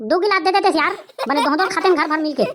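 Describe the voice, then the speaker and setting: Using a put-on character voice, a woman talks at a very fast pace in an extremely high, squeaky pitch. Her pitch variation is ordinary. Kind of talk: rustic comedy sketch. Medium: voice reel. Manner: casual, joking.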